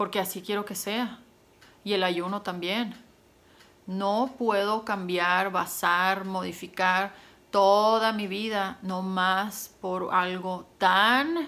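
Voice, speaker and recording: Speaking at a very slow pace, a woman has a bright, sharp tone, a medium pitch and fairly even intonation. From Mexico, Sonora. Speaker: YouTuber. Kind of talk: casual vlog monologue. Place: home room. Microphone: phone near.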